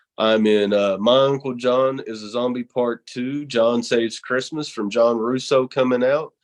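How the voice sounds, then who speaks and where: This man has a strong Southern accent and a monotone, flat intonation. He talks at a fairly slow pace. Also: quiet background. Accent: thick Southern. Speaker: horror show host and pro wrestler. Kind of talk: casual interview.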